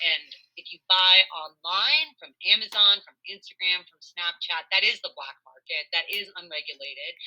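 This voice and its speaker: With a bright, sharp tone at medium pitch, a woman speaks with lively intonation, big swings in loudness and hardly any pauses. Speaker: harm reduction educator. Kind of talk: training presentation. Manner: fast.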